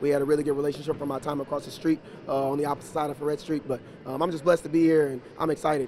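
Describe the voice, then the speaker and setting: Over light background noise, a man talks at a very fast pace in a monotone, flat intonation. The sound is dry, with no echo. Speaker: basketball head coach. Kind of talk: interview answer. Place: hall. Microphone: handheld.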